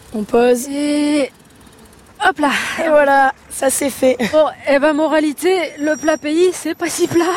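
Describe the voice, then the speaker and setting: Against noticeable background noise, a high-pitched woman speaks at a very slow pace with long, frequent pauses. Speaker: radio reporter. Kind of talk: on-location reportage. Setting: outdoors. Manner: animated.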